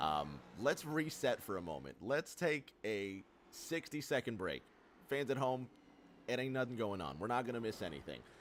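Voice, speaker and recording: The voice is animated, with vocal fry and very wide pitch swings at a moderate pace. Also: man, medium pitch for a man. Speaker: sim racing commentator. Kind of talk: live commentary.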